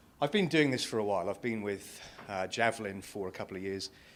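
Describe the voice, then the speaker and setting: This man talks really fast. His voice sits fairly low. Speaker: payments industry analyst. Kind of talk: conference talk. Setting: stage with audience. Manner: loud.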